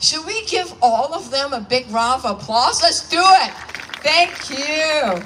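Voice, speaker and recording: Over noticeable background noise, a woman talks at a very slow pace in a high pitch with very wide pitch swings. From Hong Kong. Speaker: politician. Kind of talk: public speech at event. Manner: animated.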